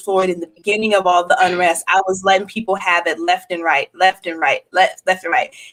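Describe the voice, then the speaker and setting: An ordinary speaking voice, fairly quick, its pitch varying in an ordinary way. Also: woman. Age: 40s. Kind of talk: podcast conversation.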